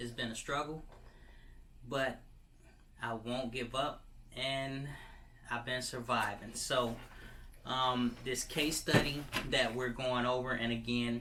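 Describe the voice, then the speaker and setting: Man with an American accent at medium pitch, bright and sharp in tone, flat and monotone, at a very slow pace with long, frequent pauses and audible room echo. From Michigan. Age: 30s. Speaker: vlogger. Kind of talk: personal testimony. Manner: halting, many fillers.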